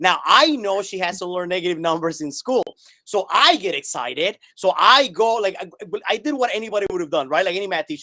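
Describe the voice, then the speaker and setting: A man with a high pitch and a bright, sharp tone speaks in a raised, projected voice, animated and with lively intonation. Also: fairly quick pace. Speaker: math teacher. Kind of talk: interview on live stream. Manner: fast.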